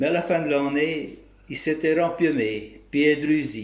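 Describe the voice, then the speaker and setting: Here a man talks with a Bresse accent. His pitch is fairly high, and his pace is very slow. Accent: rural Bresse regional dialect. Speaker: local dialect storyteller. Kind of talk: folk tale storytelling.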